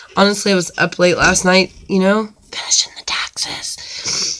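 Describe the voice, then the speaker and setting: Medium-pitched speech from a woman, with noticeable background noise behind it. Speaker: coupon YouTuber. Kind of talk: live stream chat. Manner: casual, chatty.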